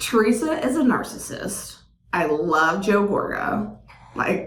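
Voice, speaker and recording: Amid noticeable background noise and audible room echo, a woman with a fairly high pitch speaks at a very slow pace with very wide pitch swings. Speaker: podcast co-host. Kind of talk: casual chat. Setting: sharing one microphone.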